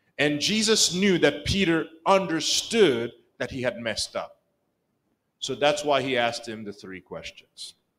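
A man speaks at a fairly slow pace in a fairly high pitch, with very wide pitch swings and big swings in loudness. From Rwanda. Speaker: church elder, preacher; preacher. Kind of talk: sermon. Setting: church. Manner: repetitive, halting at times. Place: church. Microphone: podium.

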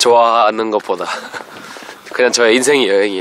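Clear background music beneath a man's voice, the sound dry and free of echo. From England. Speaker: busker. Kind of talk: casual conversation. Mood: cheerful, relaxed. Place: open country.

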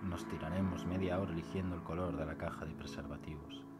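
Music runs in the background while this man keeps a moderate pace. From Spain. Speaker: poet. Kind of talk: poetry reading.

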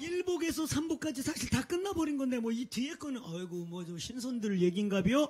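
A man at an extremely high pitch with very wide pitch swings, moderate pace and hardly any pauses, over noticeable background noise. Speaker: pastor. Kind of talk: sermon.

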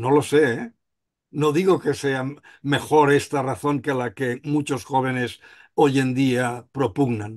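Against a quiet background, a man talks at a fairly slow pace. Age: 60s. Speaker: surgeon, association president. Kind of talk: panel discussion. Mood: reflective, conversational. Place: home room. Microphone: video call.

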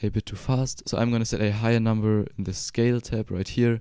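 Speaking fairly quickly with a German accent, a man uses a medium-pitched, dark and mellow voice with fairly even intonation. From Germany. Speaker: 3D software tutorial creator. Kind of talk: tutorial. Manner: casual.

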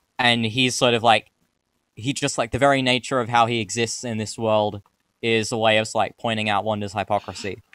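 With a clear, smooth tone at a fairly low pitch, a man talks at a fairly quick pace with little pitch movement. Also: dry, close sound with no echo.

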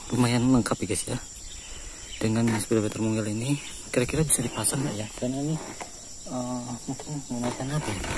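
A man speaks with fairly even intonation. Background noise is clearly audible.

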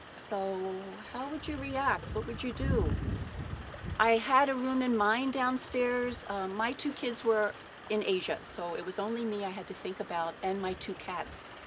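An American accent at a fairly slow pace, with ordinary pitch variation and noticeable background noise. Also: woman, fairly high pitch for a woman. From Baltimore, Maryland. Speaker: peace activist, sailing crew member; speaker. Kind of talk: public speech. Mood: earnest, recounting alarm. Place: waterside. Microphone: podium.

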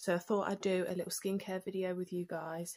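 At a fairly quick pace, a woman talks in a fairly low pitch with little pitch movement and a slightly mellow tone.

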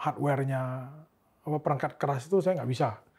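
A man speaks at a fairly high pitch. His pitch varies in an ordinary way. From Pontianak, West Kalimantan, Indonesia; West Kalimantan, Indonesia. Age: 30s. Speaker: tech company co-founder; interview guest. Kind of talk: interview; interview answer. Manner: halting. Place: studio. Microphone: studio mic.

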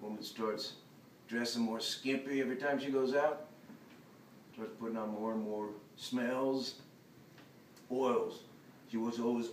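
Over light background noise and audible room echo, a man talks at a fairly slow pace with long, frequent pauses. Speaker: actor performing a monologue. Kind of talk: dramatic monologue. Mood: resentful, agitated. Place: hall. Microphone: camera far.

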